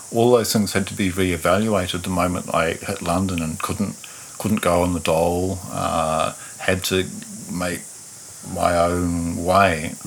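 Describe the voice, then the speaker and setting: Over noticeable background noise, a man speaks at a fairly slow pace with a very deep, low pitch and monotone, flat intonation. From New Zealand, Taranaki. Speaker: musician. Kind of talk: interview conversation. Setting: in-person recording, same room.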